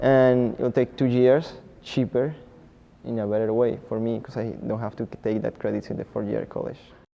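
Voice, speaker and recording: A man speaks with a Spanish accent in a dark, mellow tone at a medium pitch. His pace is moderate and his intonation monotone and flat. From Colombia. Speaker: community college student. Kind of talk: testimony.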